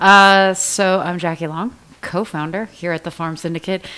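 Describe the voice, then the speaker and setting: Speaking with an American accent at a fairly slow pace, the voice has a bright, sharp tone and ordinary pitch variation. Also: woman. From Iowa, US Midwest. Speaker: podcast co-host, business co-founder. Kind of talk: casual podcast chat.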